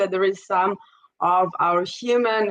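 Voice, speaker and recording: A woman speaks with an Israeli accent and ordinary pitch variation. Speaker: startup strategist and investor. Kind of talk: interview.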